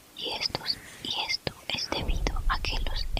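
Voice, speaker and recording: Whispering amid noticeable background noise. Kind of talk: whispered ASMR book reading. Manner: whispered, soft.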